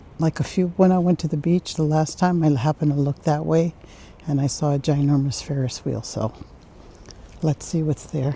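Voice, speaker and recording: A woman speaks at a moderate pace in a very deep, low pitch, her voice somewhat breathy with a dark, mellow tone and fairly even intonation. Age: 60s. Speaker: travel vlogger. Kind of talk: casual vlog narration while walking. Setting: outdoors, walking through town streets. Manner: chatty, conversational.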